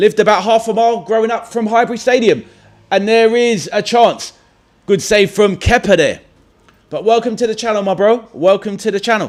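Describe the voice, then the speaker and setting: A man with a high voice, talking at a fairly quick pace. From London, England (Stoke Newington). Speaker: football watchalong streamer. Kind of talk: live stream chat and match reaction. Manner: casual, energetic.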